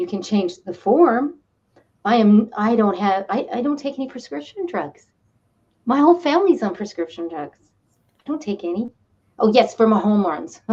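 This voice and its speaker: The voice has a dark, mellow tone and is somewhat breathy, with very wide pitch swings. Long, frequent pauses break up the speech. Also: woman, fairly high pitch for a woman, moderate pace. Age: 60s. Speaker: spiritual counselor and energy healer. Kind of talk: interview answering viewer questions. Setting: studio. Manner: animated.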